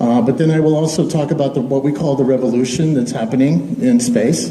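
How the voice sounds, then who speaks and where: Noticeable background noise and audible room echo surround a man with a fairly high pitch. He speaks at a moderate pace with ordinary pitch variation. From Texas. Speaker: space entrepreneur. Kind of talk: public speech.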